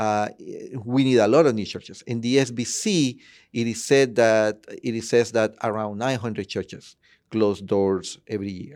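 Someone with a Spanish accent speaks at a moderate pace with fairly even intonation in a very clean recording with a silent background. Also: man, medium pitch for a man. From Honduras, Tegucigalpa. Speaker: church planting director. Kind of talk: interview.

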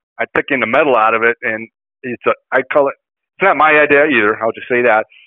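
Upper Midwest accent from a man at medium pitch, fairly quick pace and ordinary pitch variation. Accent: Upper Midwest American. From Kenosha, Wisconsin. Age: 60s. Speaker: bowhunter. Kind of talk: casual interview.

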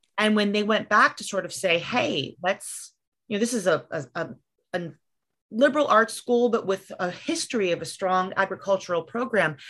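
A woman's plain, everyday voice at a medium pitch, with lively intonation, a moderate pace and a quiet background. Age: 30s. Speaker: writer and mother. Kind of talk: casual chat.

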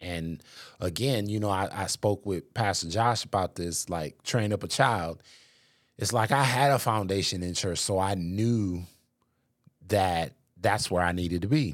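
In a very clean recording with a silent background, a man with an unremarkable speaking voice talks fairly slowly at a fairly low pitch with ordinary pitch variation. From Racine, Wisconsin. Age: 40s. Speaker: pastor's husband and podcast host. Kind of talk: casual interview chat.

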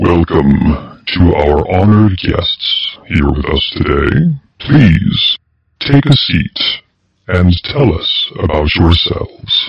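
Putting on a character voice, a man speaks at a very slow pace with a very deep, low pitch. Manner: welcoming, formal.

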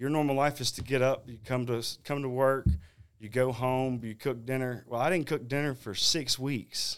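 Speaking at a moderate pace with a Southern US accent, a man uses medium pitch and fairly even intonation on a very clean recording with a silent background. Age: young. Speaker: competition barbecue cook. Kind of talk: casual interview.

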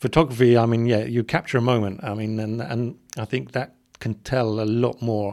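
In a very clean recording with a silent background, a man with an English accent speaks at a moderate pace and medium pitch with fairly even intonation. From England. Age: 40s. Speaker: corporate communications professional. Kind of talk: casual interview chat. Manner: hesitant, many repetitions.

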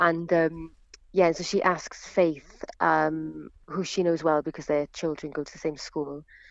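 A woman with a Welsh accent, very deep and low in pitch, at a fairly slow pace with monotone, flat intonation. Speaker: actress. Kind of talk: interview.

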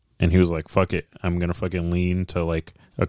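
A man at low pitch, fairly quick, monotone and flat, slightly mellow with a clear, smooth tone, dry and close with no echo

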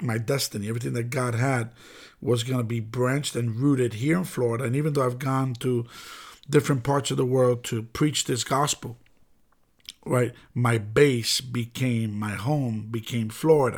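Heard in a very clean recording with a silent background, a man with an American accent and an unremarkable speaking voice talks at a moderate pace and medium pitch, with fairly even intonation. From New York City (the Bronx). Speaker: pastor. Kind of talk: sermon-style podcast monologue.

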